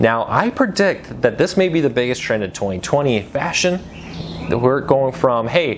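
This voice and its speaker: A man at a moderate pace with a Midwestern American accent and very wide pitch swings, over noticeable background noise. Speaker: news commentary host. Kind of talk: casual news commentary. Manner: conversational, some stumbles.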